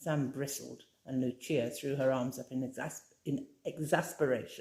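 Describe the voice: Her pitch extremely low, a woman talks at a moderate pace with fairly even intonation and a slightly mellow tone.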